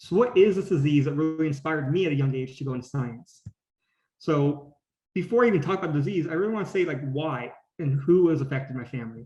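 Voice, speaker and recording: Speaking very fast with an American accent, a man uses a fairly high, somewhat breathy voice with ordinary pitch variation. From California (Gilroy). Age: 20s. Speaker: graduate student scientist. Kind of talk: presentation talk. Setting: video call.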